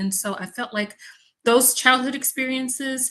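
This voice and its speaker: A bright, sharp tone in an American accent at a moderate pace. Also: woman. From US South, Mississippi. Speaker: environmental health researcher. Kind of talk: online panel conversation.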